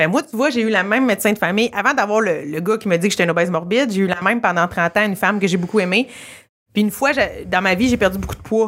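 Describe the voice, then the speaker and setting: A woman's medium-pitched voice races along very quickly. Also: ordinary pitch variation. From Quebec, rural. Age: 30s. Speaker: comedian. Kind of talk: casual chat. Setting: comedy club. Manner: animated.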